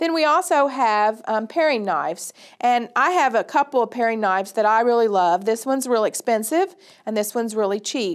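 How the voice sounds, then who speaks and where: Against a quiet background, a woman speaks at a fairly quick pace with lively intonation. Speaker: extension educator. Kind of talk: tutorial. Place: studio.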